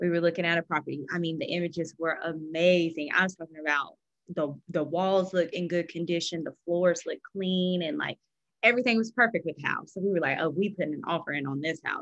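Against a quiet background, a woman with a fairly low pitch talks at a fairly quick pace with ordinary pitch variation. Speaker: real estate agent; guest. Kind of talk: panel discussion. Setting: video call. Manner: personable. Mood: friendly, relaxed. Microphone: video call.

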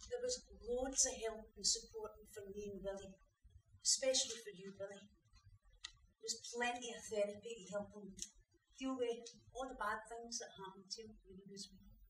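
A woman with a Scottish accent speaks at a moderate pace in a fairly high, somewhat breathy voice with fairly even intonation and long, frequent pauses. Audible room echo and light background noise surround her. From Scotland. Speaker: actor playing a supportive partner in a drama. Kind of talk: dramatic monologue, acted performance. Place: stage. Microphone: camera far.

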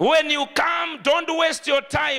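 In a raised, projected voice, a man speaks at an extremely high pitch and a fairly slow pace, his tone animated. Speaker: preacher. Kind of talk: sermon. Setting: church with congregation. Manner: animated, rousing call-and-response preaching; emphatic, declaring prophecies and blessings. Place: church. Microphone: handheld.

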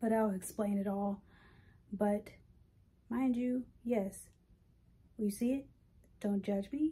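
A woman speaks very slowly with long, frequent pauses, her fairly high voice somewhat breathy, dark and mellow in tone, and very even in loudness. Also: ordinary pitch variation. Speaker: vlogger. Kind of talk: casual vlog monologue. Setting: outdoors on a walk.

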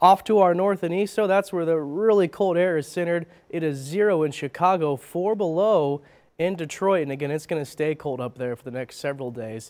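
Against a quiet background, a man talks at a fairly quick pace in an upbeat tone. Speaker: TV weather forecaster. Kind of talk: live morning TV weather report. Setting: TV studio. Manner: brisk, upbeat rundown of local temperatures, city by city; light banter with laughs and casual filler 'uh'. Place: studio.

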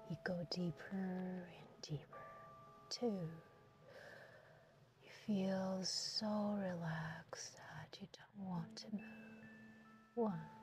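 Clear music plays behind a soft-spoken woman who talks very slowly with long, frequent pauses. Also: ordinary pitch variation. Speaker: hypnotist. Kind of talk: guided hypnosis session. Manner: soft-spoken, calm. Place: car. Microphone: phone near.

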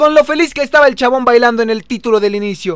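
With lively intonation, a man talks at a fairly quick pace, and the sound is dry with no echo against a quiet background. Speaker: gamer streamer. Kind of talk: gameplay commentary. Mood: joking, sarcastic. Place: home room. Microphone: studio mic.

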